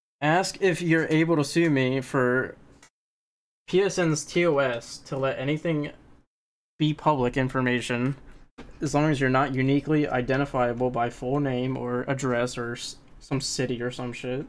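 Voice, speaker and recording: A man speaks in a normal speaking voice at a medium pitch, his intonation fairly even. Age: 20s. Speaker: gaming YouTuber, online troll. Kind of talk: heated argument over game voice chat. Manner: argumentative, rapid back-and-forth.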